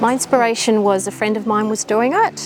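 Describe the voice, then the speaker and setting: A woman speaks in an Australian accent at a moderate pace. Music plays in the background. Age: 60s. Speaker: zoo volunteer guide. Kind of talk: interview.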